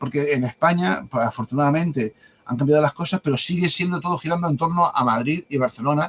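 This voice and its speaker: A man's very fast speech, fairly high in pitch, with ordinary pitch variation. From Andalusia, Spain. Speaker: mystery writer and publisher. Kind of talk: podcast interview. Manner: hesitant, many fillers.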